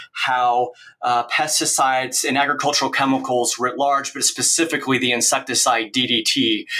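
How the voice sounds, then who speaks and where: Noticeable background noise sits behind a man with an American accent. He talks at a moderate pace with a medium pitch and fairly even intonation. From Oregon, US Northwest. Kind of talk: interview. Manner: hesitant with frequent fillers.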